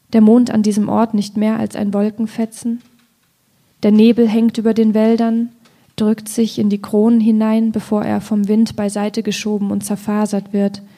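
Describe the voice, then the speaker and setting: A woman's fairly high, somewhat breathy voice with a dark, mellow tone moves at a moderate pace in monotone, flat intonation. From Thuringia, Ilmenau. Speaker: poet. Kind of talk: reading aloud; public conversation.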